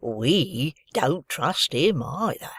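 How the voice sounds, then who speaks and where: Putting on a character voice, a man speaks raspily at a fairly high pitch with very wide pitch swings, the sound dry and close with no echo. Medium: read story. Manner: loud, simple.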